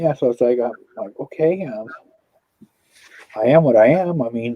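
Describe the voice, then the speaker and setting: A man speaks at a moderate pace with a Californian accent. His pitch sits in the medium range and varies in an ordinary way. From Southern California. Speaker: paranormal channel host, livestreamer. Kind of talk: casual livestream chat.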